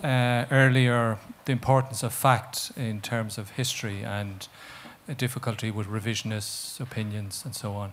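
Speaking at a moderate pace, a man with an Irish accent uses ordinary pitch variation. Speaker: audience member. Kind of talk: audience question. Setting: stage with audience.

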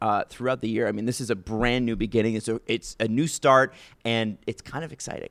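An unremarkable speaking voice goes at a fairly quick pace with fairly even intonation, captured in a very clean recording with a silent background and a dry, close sound with no echo. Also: man, medium pitch for a man. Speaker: podcast host, hockey. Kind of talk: casual chat, conversational podcast.

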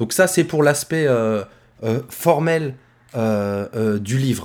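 A man speaks with a regional French accent and lively intonation. The recording is very clean, with a silent background. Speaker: podcast host, teacher. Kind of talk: casual chat.

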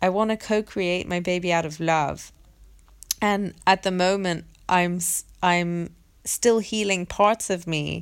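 In a very clean recording with a silent background, a woman speaks in a normal speaking voice at a medium pitch, with a fairly slow pace and fairly even intonation. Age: 20s. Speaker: podcast host, women's circle facilitator. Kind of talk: solo monologue. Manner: casual, laughs often.

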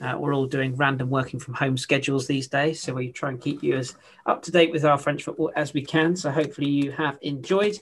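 A man with a normal speaking voice and a fairly high pitch talks at a fairly quick pace with fairly even intonation and hardly any pauses. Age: 30s. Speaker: football podcast host. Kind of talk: casual chat.

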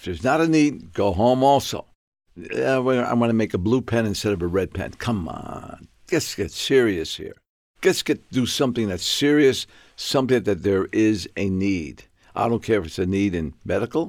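Speaking at a moderate pace and a medium pitch, a man makes very wide pitch swings on a very clean recording with a silent background. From New York, South Bronx. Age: 80s+. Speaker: med tech entrepreneur. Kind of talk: interview.

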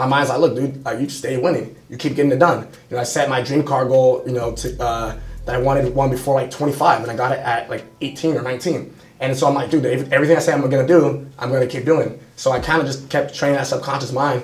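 Amid noticeable background noise and audible room echo, a man with a fairly high pitch talks at a very fast pace in a monotone, flat intonation. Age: 20s. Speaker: young entrepreneur and social media influencer. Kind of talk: interview on a live stream. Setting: studio at a sales trainer's headquarters.

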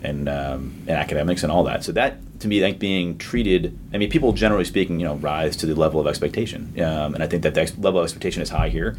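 Talking at a very fast pace with hardly any pauses, a man uses a very deep, low pitch and lively intonation over noticeable background noise. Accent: American. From Boston area, Massachusetts. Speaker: distillery founder. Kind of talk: interview.

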